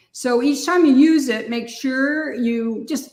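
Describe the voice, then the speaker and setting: A woman speaks at a fairly slow pace in a high pitch, with ordinary pitch variation. Room echo is audible. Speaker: sugar art and cake decorating instructor. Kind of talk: tutorial.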